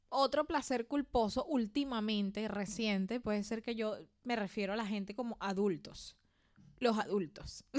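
On a very clean recording with a silent background, a woman with an unremarkable speaking voice and a fairly high pitch talks at a fairly slow pace with ordinary pitch variation. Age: 30s. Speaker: podcast co-host. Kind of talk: casual chat.

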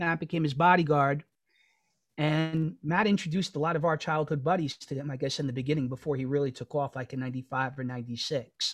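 In a New York accent, a man talks at a very fast pace and fairly high pitch, with fairly even intonation. The recording is very clean, with a silent background. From New York City, Queens (Astoria). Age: 40s. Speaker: podcast co-host. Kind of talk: casual chat.

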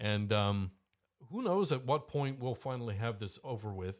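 A man with a Canadian accent talks at a moderate pace with lively intonation. He has an unremarkable speaking voice. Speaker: talk show co-host. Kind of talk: casual chat. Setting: studio. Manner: joking.

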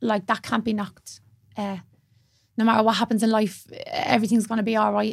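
In a Dublin accent, a woman speaks in a somewhat breathy voice with fairly even intonation. The recording is very clean, the background silent. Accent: Dublin Irish. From Dublin, Ireland (Blanchardstown). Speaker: yoga teacher and mental health advocate. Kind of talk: casual interview chat.

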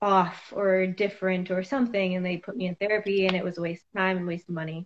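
Flat, monotone delivery from a woman with an American accent at a medium pitch. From US Midwest, Iowa. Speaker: hairstylist and adoptee. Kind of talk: interview.

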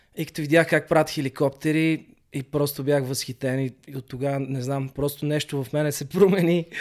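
An ordinary speaking voice belongs to a man with a fairly high pitch. He keeps a moderate pace and fairly even intonation. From Bulgaria, Sofia. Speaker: breakdancer. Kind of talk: casual interview.

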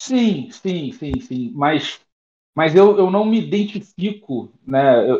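With a dark, mellow tone, a man speaks at a high pitch and makes very wide pitch swings. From Niterói, Rio de Janeiro, Brazil. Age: 30s. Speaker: software consultant and programming teacher. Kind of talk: casual chat. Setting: online audio room.

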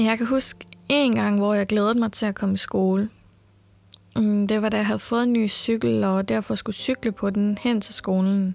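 A woman with an ordinary speaking voice talks fairly slowly at medium pitch, her intonation fairly even and her loudness very even. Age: 20s. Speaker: podcast host. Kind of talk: personal storytelling narration.

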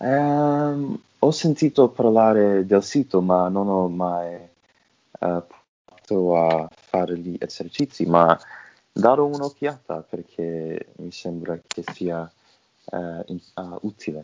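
A very deep, low male voice at a very slow pace, with big swings in loudness and long, frequent pauses. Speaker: podcast host. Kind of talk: casual interview. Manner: halting, hesitant.

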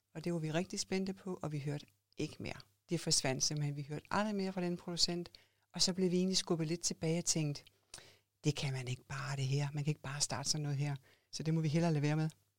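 Pitched fairly low, a woman talks with ordinary pitch variation in a plain, everyday voice. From Denmark, Odense (Funen). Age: 50s. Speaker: clothing entrepreneur. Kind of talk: interview. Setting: podcast studio.

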